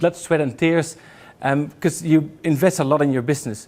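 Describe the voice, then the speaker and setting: A man mumbles at a fairly quick pace with fairly even intonation. The recording is very clean and the background silent. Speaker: business broker. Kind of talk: lecture. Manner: fast; mumbling.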